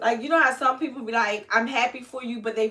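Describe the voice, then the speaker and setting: Ordinary pitch variation in a woman's high voice. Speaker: hair vlogger. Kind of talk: casual livestream chat. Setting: live stream.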